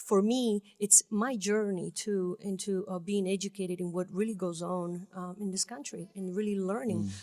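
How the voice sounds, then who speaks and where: Speaking with a strong Italian accent, a woman uses a medium pitch, a dark, mellow tone and fairly even intonation, with hardly any pauses. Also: moderate pace. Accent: thick Italian. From Italy (Trieste). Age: 40s. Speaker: music label founder and activist. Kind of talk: radio interview. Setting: radio studio.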